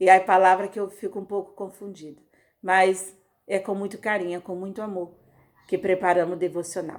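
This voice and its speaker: Her delivery is monotone and flat, at a moderate pace, from a woman with a medium-pitched voice. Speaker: pastor. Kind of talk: casual sign-off; prayer. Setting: recorded audio devotional.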